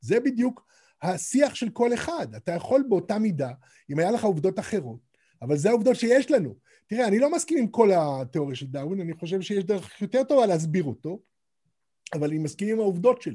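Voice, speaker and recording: A man's high voice with a dark, mellow tone and very wide pitch swings, at a fairly quick pace on a very clean recording with a silent background. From Israel, partly raised in Scotland. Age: 60s. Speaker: author and translator. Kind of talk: interview conversation.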